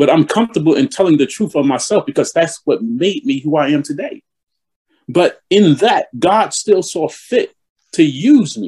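A man with a New York accent speaks at a moderate pace in a high, dark, mellow tone. His pitch swings very widely, and the sound is dry and close with no echo. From New York (East Elmhurst, Queens). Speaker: bishop. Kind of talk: interview.

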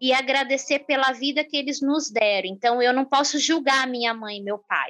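A woman with a high voice speaks in a fairly even tone, with music playing in the background. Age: 50s. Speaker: social entrepreneur. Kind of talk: interview.

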